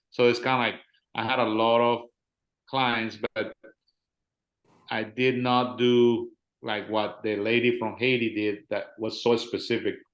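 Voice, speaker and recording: A man's flat, monotone delivery at a fairly slow pace, broken by long, frequent pauses. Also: medium pitch for a man. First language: Spanish. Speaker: life insurance agent and trainer. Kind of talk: casual chat.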